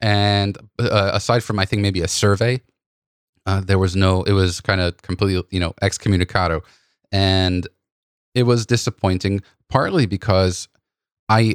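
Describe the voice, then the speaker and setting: On a very clean recording with a silent background and a dry, close sound with no echo, a man at a fairly low pitch speaks at a moderate pace with fairly even intonation. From New York. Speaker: podcast host. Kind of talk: casual chat.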